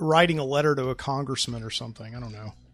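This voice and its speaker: In a very clean recording with a silent background, a man with an American accent speaks in a bright, sharp tone at a fairly high pitch with ordinary pitch variation. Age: 30s. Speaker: podcast host and English teacher. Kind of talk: casual solo monologue. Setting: studio. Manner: casual, many fillers.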